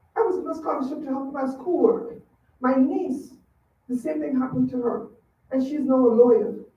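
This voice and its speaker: A woman talks at a fairly quick pace with a high pitch and lively intonation. She leaves long, frequent pauses, and the room echo is audible. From Trinidad and Tobago. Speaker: public commenter at school board meeting. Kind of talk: public comment speech. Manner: halting.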